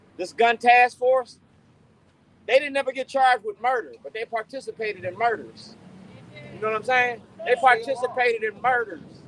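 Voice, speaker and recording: At a moderate pace with ordinary pitch variation, the speaker makes big swings in loudness and takes long, frequent pauses, the sound dry and close with no echo against noticeable background noise. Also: man, extremely high pitch for a man. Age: 60s. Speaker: activist speaker at a rally. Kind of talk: impassioned rally speech. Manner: animated.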